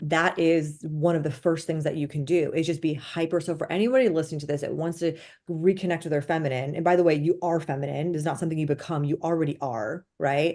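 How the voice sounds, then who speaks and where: A woman talks very fast with hardly any pauses. Her voice is very deep and low, with a dark, mellow tone. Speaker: feminine energy coach. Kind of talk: podcast interview. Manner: animated.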